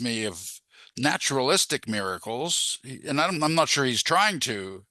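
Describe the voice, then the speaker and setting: Against a quiet background, a man with a fairly high pitch speaks at a fairly slow pace, his tone bright and sharp with vocal fry. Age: 70s. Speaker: audience member. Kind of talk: Q&A comment. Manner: halting.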